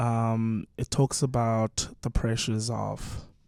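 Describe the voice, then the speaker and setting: A man's medium-pitched voice at a very slow pace, with a dry, close sound and no echo. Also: very clean recording, silent background. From South Africa. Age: 20s. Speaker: singer-songwriter. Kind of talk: radio interview answer.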